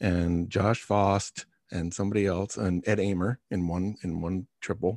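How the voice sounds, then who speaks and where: On a very clean, silent-background recording with a dry, close sound and no echo, a man with an unremarkable speaking voice talks fairly slowly at a fairly low pitch. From Long Island, New York. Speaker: podcast host. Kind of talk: casual interview.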